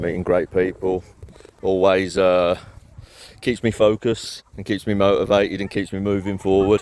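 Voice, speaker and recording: Over noticeable background noise, a man with a Birmingham accent speaks at a moderate pace with a fairly low pitch. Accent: Birmingham (Brummie). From Birmingham, England. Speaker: property renovation business owner. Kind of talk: casual vlog. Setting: outdoors in a park. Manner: monotone.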